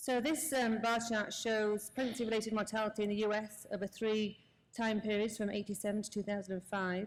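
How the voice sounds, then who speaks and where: A woman with a British accent speaks at a fairly quick pace in a fairly high pitch. Her intonation is fairly even and her loudness very even. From UK. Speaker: anesthesiologist. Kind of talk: conference lecture.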